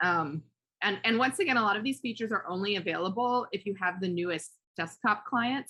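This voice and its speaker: The voice has a bright, sharp tone and moves at a fairly quick pace. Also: woman. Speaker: educational workshop presenter. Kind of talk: online workshop presentation. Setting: video call. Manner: fast; hesitant, many fillers.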